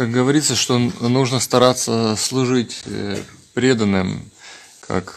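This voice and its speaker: A man's very slow, fairly even-toned delivery. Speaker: devotee asking questions.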